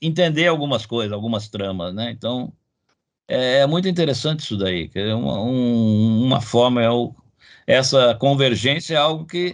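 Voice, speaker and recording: Speaking at a moderate pace, a man uses medium pitch and lively intonation. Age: 60s. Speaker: comics researcher, professor. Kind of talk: interview. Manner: halting, many repetitions and fillers.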